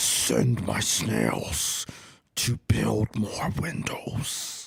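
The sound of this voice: A man growls in a booming, put-on character voice with a very deep, low pitch. He speaks at a very slow pace.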